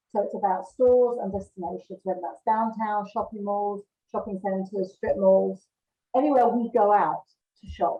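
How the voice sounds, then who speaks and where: At a moderate pace, a woman with a British accent speaks at a medium pitch with ordinary pitch variation. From UK. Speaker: marketing director. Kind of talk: interview.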